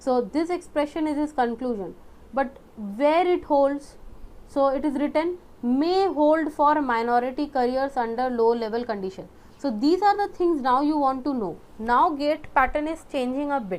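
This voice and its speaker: A woman with a high pitch and lively intonation. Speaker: online tutor for exam prep. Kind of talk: lecture.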